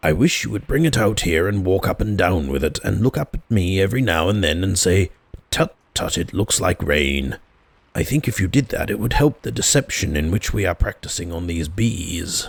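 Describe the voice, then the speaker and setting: A raspy, put-on character voice at a moderate pace. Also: man, very deep, low pitch for a man. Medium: read story. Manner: earnest, solemn, slightly anxious.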